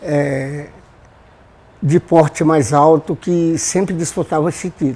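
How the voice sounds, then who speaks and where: Very slow delivery broken by long, frequent pauses. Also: man, fairly high pitch for a man. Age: 70s. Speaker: samba composer. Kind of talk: oral history interview.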